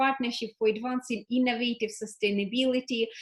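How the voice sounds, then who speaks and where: This woman's voice is high-pitched. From Ukraine. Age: young. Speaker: interview host. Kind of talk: interview. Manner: halting, many fillers.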